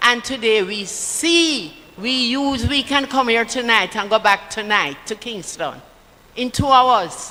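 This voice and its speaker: A woman with a Jamaican accent and lively intonation over noticeable background noise. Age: 80s+. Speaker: political party speaker. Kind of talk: political rally speech.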